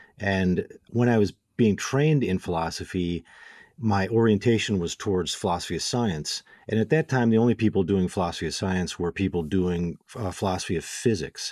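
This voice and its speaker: A man with an American accent has an unremarkable speaking voice, fairly low in pitch with ordinary pitch variation. He talks at a fairly quick pace in a dry, close sound with no echo. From Illinois, Waukegan. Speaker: philosophy professor. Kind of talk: casual interview.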